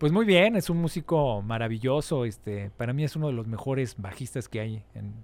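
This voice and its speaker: This man has an unremarkable speaking voice. His pitch is medium. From Mexico City. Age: 40s. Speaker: musician. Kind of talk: interview. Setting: studio.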